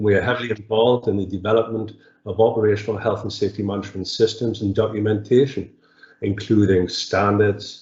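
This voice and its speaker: With a Geordie accent, a man speaks at a fairly quick pace in a fairly low pitch with fairly even intonation. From northeast England, Newcastle upon Tyne. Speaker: electrical engineering consultant. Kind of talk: webinar presentation. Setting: webinar. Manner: hesitant, many fillers.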